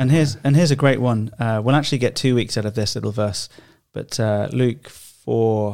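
Speaking at a fairly quick pace, a man uses an ordinary speaking voice at a medium pitch. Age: 30s. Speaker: podcast host. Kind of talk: casual chat. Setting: studio.

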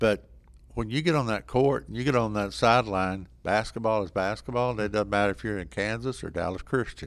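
Speaking at a fairly quick pace with a Texan accent, a man with a fairly low pitch shows ordinary pitch variation. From Texas, small town (Sanger). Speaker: college basketball coach. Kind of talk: interview.

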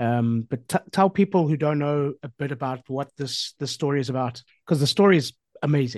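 A man with an ordinary speaking voice, fairly high-pitched and fairly quick, with ordinary pitch variation and a dry, close sound with no echo. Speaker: podcast host. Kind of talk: casual chat.

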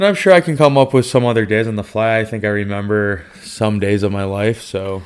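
A man with an American accent and an ordinary speaking voice, fairly low-pitched, at a fairly quick pace with ordinary pitch variation and hardly any pauses. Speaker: podcast co-host. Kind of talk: casual chat. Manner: playful, joking.

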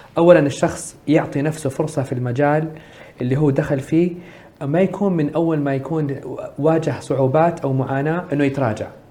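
Noticeable background noise runs under a man's fairly high voice. He keeps a moderate pace and fairly even intonation. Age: 30s. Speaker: social entrepreneur. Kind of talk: interview.

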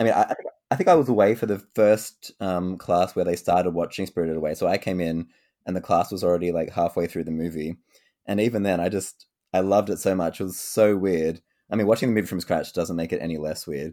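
A very fast, very deep and low male voice with fairly even intonation, in a very clean recording with a silent background. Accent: Australian. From Australia. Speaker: podcast host. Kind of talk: casual chat.

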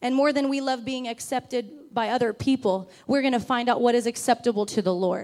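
A woman speaks at a fairly quick pace with hardly any pauses. Her pitch is high and her intonation fairly even. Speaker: preacher. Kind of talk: sermon. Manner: fast.

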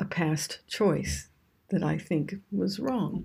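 A woman's dark, mellow tone with vocal fry, at a very slow pace. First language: English (speaking Japanese). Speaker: ayurveda and yoga teacher. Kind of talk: scripted talk on yoga philosophy.

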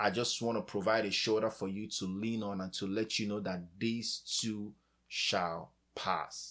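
In a very clean recording with a silent background, a man with a normal speaking voice and a fairly low pitch speaks at a fairly slow pace with fairly even intonation. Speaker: podcast host. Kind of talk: encouraging talk ending in fervent prayer. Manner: earnest, warm, fervent; heartfelt, pleading.

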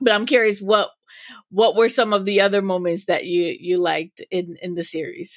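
A normal speaking voice, with ordinary pitch variation, keeps a moderate pace. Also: woman, medium pitch for a woman. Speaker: podcast host. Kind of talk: casual chat.

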